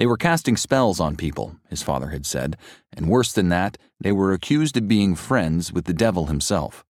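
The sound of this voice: An unforced voice reads with lively intonation.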